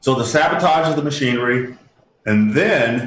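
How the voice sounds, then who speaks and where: Somewhat breathy, a man speaks at a moderate pace and medium pitch with lively intonation. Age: 60s. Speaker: inventor and humanitarian. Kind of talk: interview. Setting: radio show. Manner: halting.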